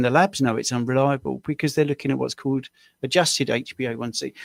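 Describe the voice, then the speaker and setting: Speaking at a very fast pace, a man with a British accent has a fairly high pitch. The recording is very clean with a silent background and a dry, close sound with no echo. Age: 60s. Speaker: diabetes coach. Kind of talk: tutorial; casual chat.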